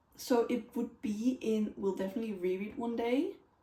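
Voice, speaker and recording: A woman with a non-native accent and fairly high pitch speaks in a dark, mellow tone at a moderate pace. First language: not English. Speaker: book reviewer. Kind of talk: casual chat.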